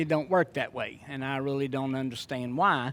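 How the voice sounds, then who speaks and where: A man speaks at a moderate pace with a Louisiana accent. The recording is very clean, with a silent background. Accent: Southern US (Louisiana). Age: 60s. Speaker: preacher. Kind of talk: sermon. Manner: conversational.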